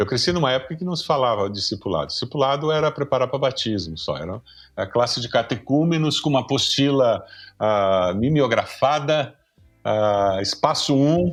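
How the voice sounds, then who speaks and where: Music plays in the background as a man speaks. He keeps a moderate pace with lively intonation. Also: medium pitch for a man. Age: 60s. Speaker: pastor and professor. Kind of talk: podcast conversation.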